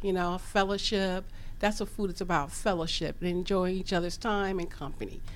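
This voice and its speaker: A woman with an unremarkable speaking voice, medium pitch, fairly even intonation, and a fairly quick pace. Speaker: chef and caterer. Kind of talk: radio interview. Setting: studio.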